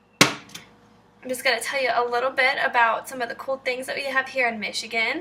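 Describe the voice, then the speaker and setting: A woman speaks in a high, raised, projected voice with a slight Southern US accent. Noticeable background noise sits behind her. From Kentucky. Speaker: cooking video maker. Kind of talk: tutorial. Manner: animated.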